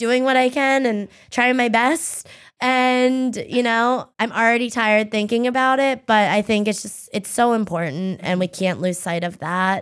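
Against a silent background in a very clean recording, a woman with an American accent has an ordinary speaking voice, fairly high, with ordinary pitch variation. She goes at a fairly slow pace with hardly any pauses. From Pennsylvania, US. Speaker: political strategist and social media creative director. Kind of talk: casual interview chat.

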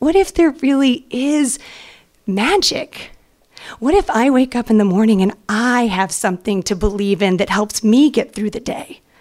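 A high-pitched woman with an American accent, lively intonation and a moderate pace. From US South, Atlanta. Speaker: actress. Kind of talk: live storytelling. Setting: stage with audience.

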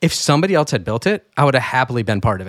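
Talking very fast, a man comes through on a very clean recording with a silent background, the sound dry and close with no echo. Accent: American. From US Midwest, rural Michigan. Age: 40s. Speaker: entrepreneur and trader. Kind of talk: interview.

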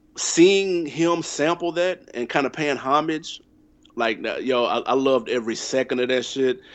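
In an American accent, a man speaks at a moderate pace. His is an ordinary speaking voice with ordinary pitch variation. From US South, Nashville, Tennessee. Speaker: hip hop podcaster. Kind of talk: casual chat.

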